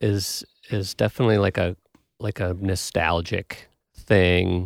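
An ordinary speaking voice with an American accent at a fairly slow pace, dry and close with no echo, in a very clean recording with a silent background. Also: man. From Wisconsin (Milwaukee). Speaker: podcast host and bassist. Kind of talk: casual chat. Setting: recording studio.

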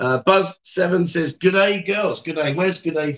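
Speaking in an English accent, a man uses a high pitch. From England. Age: 50s. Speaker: livestream host. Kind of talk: casual chat. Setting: bar. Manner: animated.

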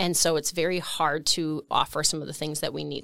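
A woman speaks at a moderate pace with an Upper Midwest accent, the sound dry and close with no echo. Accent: Upper Midwest American. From rural Wisconsin, US Midwest. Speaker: economic development executive. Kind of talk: interview.

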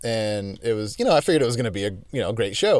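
The clip features an ordinary speaking voice with ordinary pitch variation. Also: man. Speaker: podcast host and musician. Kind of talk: casual interview.

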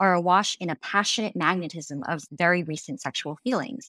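Using a normal speaking voice, a woman with an American accent and a fairly low pitch talks at a fairly quick pace, the sound dry and close with no echo. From US, Chinese American family. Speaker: novelist. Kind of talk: casual chat about books. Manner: many fillers and restarts.

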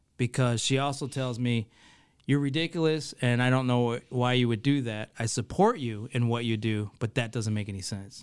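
A man's medium-pitched voice with an American accent, at a moderate pace with ordinary pitch variation, in a very clean recording with a silent background. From US Midwest, Ohio and Michigan. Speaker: entrepreneur and event organizer. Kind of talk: interview. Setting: studio.

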